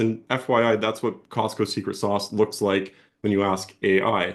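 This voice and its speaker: A man against a quiet background. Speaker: e-commerce speaker presenting a hack. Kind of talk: webinar presentation. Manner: fast.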